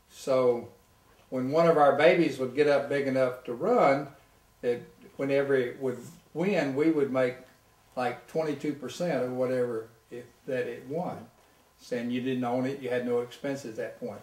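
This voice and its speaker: Noticeable background noise and audible room echo surround a man speaking at medium pitch and a moderate pace, his intonation fairly even, with long, frequent pauses. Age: 70s. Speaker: retired tennis pro and golfer. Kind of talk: casual interview.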